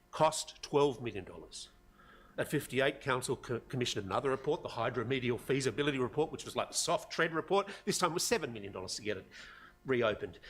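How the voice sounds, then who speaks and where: A somewhat breathy man with an Australian accent, fairly high-pitched, very fast, with lively intonation and big swings in loudness. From Australia, Sydney North Shore. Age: 60s. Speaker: community member addressing council. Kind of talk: public forum speech. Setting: council chamber public forum.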